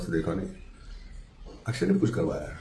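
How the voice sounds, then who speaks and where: Audible room echo hangs around this recording. In it, a man's pitch swings very widely. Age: 40s. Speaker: TV actor. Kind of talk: casual monologue. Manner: hesitant, with fillers.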